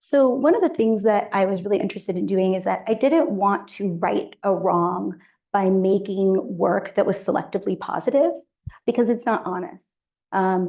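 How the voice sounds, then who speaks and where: A woman talks at a moderate pace with ordinary pitch variation. Her tone is dark and mellow. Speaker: documentary photographer. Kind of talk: artist talk with slides. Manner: halting, many fillers.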